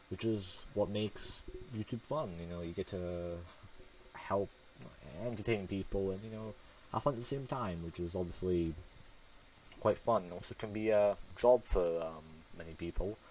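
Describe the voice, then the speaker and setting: There are long, frequent pauses in this man's moderately paced speech. His pitch is fairly low for a man. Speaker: gaming youtuber. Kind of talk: gameplay voice-over commentary. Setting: recorded voice-over at home. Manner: monotone; hesitant, many fillers.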